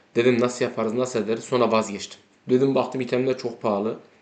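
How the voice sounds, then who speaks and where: At a fairly quick pace, a man with a plain, everyday voice speaks at a medium pitch. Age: 30s. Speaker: gaming YouTuber. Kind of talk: casual gameplay commentary.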